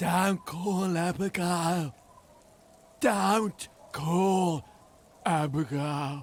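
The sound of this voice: A man puts on a character voice, pitched high and spoken very slowly.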